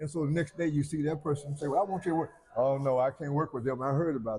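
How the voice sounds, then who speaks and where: The pitch variation here is ordinary. The delivery comes at a very fast pace. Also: man, fairly high pitch for a man. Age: 70s. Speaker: pastor. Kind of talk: interview. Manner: halting, with many fillers.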